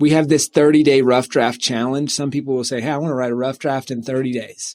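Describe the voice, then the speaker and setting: Very fast, monotone, flat speech from a man with an American accent. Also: medium pitch for a man. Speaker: author and publishing company CEO. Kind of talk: podcast interview. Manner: halting, many fillers.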